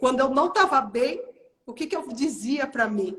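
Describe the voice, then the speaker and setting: A woman's high pitch, with lively intonation and an animated tone. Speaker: health and weight-loss coach. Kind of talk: motivational live stream talk. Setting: live stream.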